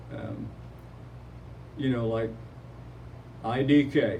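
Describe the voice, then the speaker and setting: Speaking with an American accent and fairly even intonation, the voice carries audible room echo. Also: man. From Oklahoma. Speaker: retired teacher and community photographer. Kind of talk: interview.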